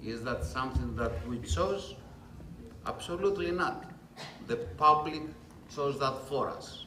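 A man with a Greek accent talks at a fairly slow pace, with long, frequent pauses. Audible room echo and light background noise surround him. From Greece. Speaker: chef; panelist. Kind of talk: panel presentation. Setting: restaurant event with audience. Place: hall.

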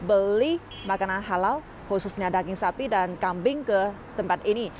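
Speaking fairly slowly with lively intonation, a woman is heard in a dry sound with no echo and light background noise. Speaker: travel vlogger. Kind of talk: casual vlog chat. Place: street. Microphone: earbuds.

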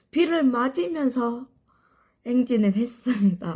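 At a very slow pace, a woman talks in a somewhat breathy voice with a dark, mellow tone. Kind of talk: casual live stream talk to viewers.

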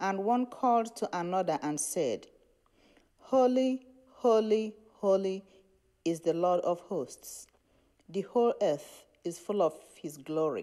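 At a very slow pace, a woman speaks in a dark, mellow tone with lively intonation. Long, frequent pauses break her speech against a quiet background. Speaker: lay reader. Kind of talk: scripture reading and reading prayer names. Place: church.

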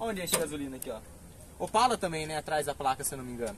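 Very fast speech from a man with a fairly high pitch, in a dry sound with no echo over light background noise. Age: 20s. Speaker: car YouTuber; car vlogger. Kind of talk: casual vlog with test drive. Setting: in a car. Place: street. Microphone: phone near.

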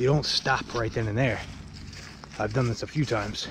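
A man speaks at a very fast clip. The sound is dry with no echo, though background noise is noticeable. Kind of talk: casual vlog chat. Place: forest. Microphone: phone near.

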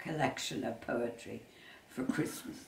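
The speaker is a woman with a western Irish accent. Room echo is audible. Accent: Irish, west of Ireland. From Ireland, Westport, County Mayo; County Mayo, Ireland. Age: 80s+. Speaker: retired tour guide. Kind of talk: interview; interview answer. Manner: halting. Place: home room. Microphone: camera far.

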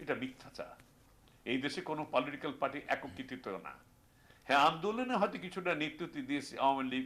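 A man's an ordinary speaking voice, fairly high in pitch, with ordinary pitch variation. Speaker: war veteran. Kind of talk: news interview soundbite.

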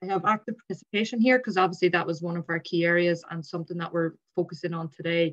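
Speaking very fast in an Irish accent, the speaker leaves hardly any pauses. Intonation is fairly even, and the background is quiet. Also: woman, fairly low pitch for a woman. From Ireland. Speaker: sports administrator, former rugby player; presenter. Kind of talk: webinar presentation. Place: home room. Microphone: video call.

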